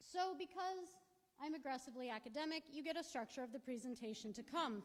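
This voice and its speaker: A loud, high-pitched woman's voice, fairly quick, with lively intonation. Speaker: professor, archaeologist. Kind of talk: lecture. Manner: animated.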